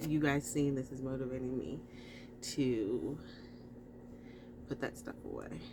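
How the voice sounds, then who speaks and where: A quiet woman's voice with a very deep, low pitch and ordinary pitch variation, a fairly slow pace with long, frequent pauses, and audible room echo. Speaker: homeschooling mom vlogger. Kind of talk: casual vlog narration. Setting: home, in closet office. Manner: quiet, talking low.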